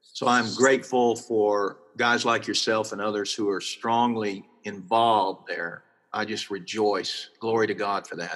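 A man with a Texan accent talks fairly slowly at a fairly low pitch, his intonation fairly even. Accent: Texan Southern US. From South Texas, near Corpus Christi. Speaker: pastor. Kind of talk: interview.

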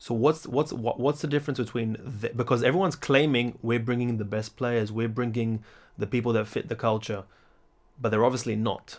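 In a very clean recording with a silent background, a man with an ordinary speaking voice talks at a fairly quick pace, with medium pitch and fairly even intonation. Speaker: podcast host, former footballer. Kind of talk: podcast interview. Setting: in-person recording in Belfast.

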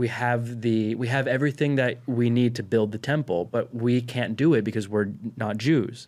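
A man with an unremarkable speaking voice talks at a medium pitch and a moderate pace, with fairly even intonation, on a very clean recording with a silent background. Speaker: cousin, co-host. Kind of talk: casual comedic chat. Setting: studio.

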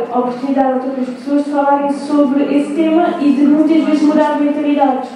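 A woman's high, monotone, flat voice at a fairly quick pace with hardly any pauses, with audible room echo and noticeable background noise. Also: very even loudness. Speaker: university student in the audience. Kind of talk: live podcast discussion. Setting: live recording before an audience at a university. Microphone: poor recording quality.

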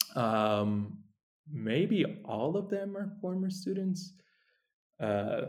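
Amid audible room echo, a man with an American accent speaks with very wide pitch swings. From New York. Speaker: nonprofit founder, Bitcoin educator. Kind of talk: interview.

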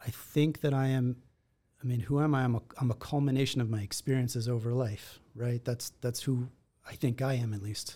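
A man speaks at a fairly quick pace with a dark, mellow tone. His voice is somewhat breathy and his intonation stays fairly even. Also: medium pitch for a man. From Israel. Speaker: attorney. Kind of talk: casual interview.

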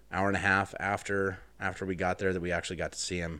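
A man with an unremarkable speaking voice at a fairly quick pace, fairly even in intonation, in a very clean recording with a silent background. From Wyoming, US. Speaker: podcast guest. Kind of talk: casual chat.

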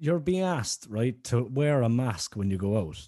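A man with a Cork accent talks in a somewhat breathy voice, his pitch swinging very widely. The background is quiet. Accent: Cork Irish. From Ireland, East Cork. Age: 20s. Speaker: musician. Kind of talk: casual chat. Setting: video call.

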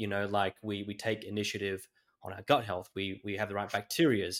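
With an Australian accent, a man speaks at a fairly low pitch in a very clean recording with a silent background. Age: 20s. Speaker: podcast host. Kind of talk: interview.

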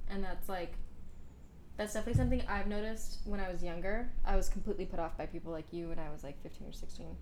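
A woman at a very fast pace with fairly even intonation, against noticeable background noise. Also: medium pitch for a woman. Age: 20s. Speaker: artist. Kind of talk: casual chat.

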